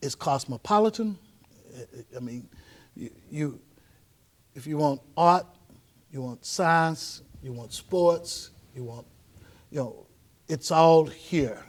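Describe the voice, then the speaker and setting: A man with a fairly high pitch speaks very slowly, with lively intonation, big swings in loudness, and long, frequent pauses. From Houston, Texas (Fifth Ward). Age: 60s. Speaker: pastor. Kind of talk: casual conversation.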